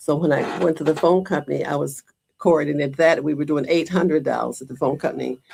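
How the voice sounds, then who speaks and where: A woman with an American accent speaks at a very fast pace in a very deep, low pitch, with a dark, mellow tone, vocal fry and fairly even intonation. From Michigan, Detroit area. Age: 90s. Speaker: community volunteer. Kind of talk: interview.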